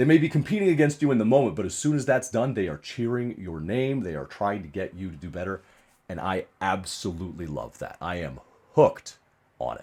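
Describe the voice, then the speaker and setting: Here a man talks at a fairly quick pace and medium pitch, with vocal fry. His pitch swings very widely on a very clean recording with a silent background. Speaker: strongman and arm wrestling athlete. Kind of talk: casual talk to camera.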